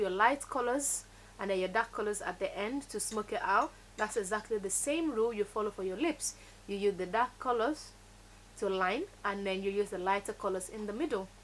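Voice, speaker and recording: A woman speaks in a Nigerian accent at a fairly high pitch. Her pace is fairly quick, with ordinary pitch variation. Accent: Nigerian (Yoruba) English. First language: Yoruba. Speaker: beauty vlogger. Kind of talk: tutorial. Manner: animated.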